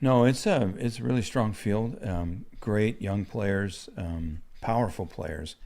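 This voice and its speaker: A man speaks very slowly in a fairly low pitch with a dark, mellow tone. He has ordinary pitch variation and hardly any pauses. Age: 70s. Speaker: golf tournament figure. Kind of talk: interview. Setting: on-site at golf tournament.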